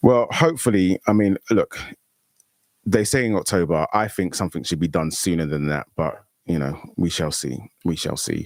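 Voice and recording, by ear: A man talks at a moderate pace with a low pitch and ordinary pitch variation. The sound is dry and close, with no echo.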